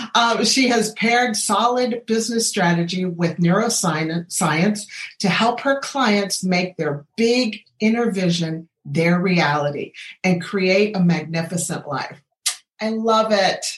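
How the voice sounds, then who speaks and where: At a very slow pace, a somewhat breathy woman speaks with ordinary pitch variation. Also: medium pitch for a woman. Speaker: medical doctor and podcast host. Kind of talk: interview. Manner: animated.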